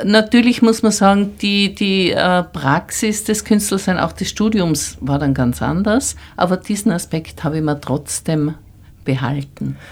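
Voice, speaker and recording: A woman's voice with vocal fry on a very clean recording with a silent background. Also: medium pitch for a woman, fairly slow pace. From Tyrol, Austria. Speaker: artist. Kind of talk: interview.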